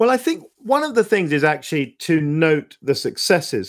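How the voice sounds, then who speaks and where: The recording is very clean, with a silent background. A man with a British accent speaks at a moderate pace with lively intonation. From UK. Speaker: former diplomat and author. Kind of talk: interview conversation. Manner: halting, many repetitions.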